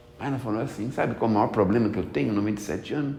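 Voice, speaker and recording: A man at a very fast pace, with audible room echo. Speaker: spiritist lecturer. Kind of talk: spiritist talk. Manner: conversational.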